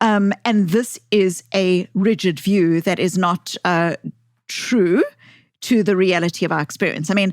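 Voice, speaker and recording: A woman with a South African accent speaks at a fairly slow pace, at medium pitch, with very even loudness and fairly even intonation. The sound is dry and close with no echo, on a very clean recording with a silent background. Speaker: author, psychologist. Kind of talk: podcast interview. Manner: hesitant, repeats words.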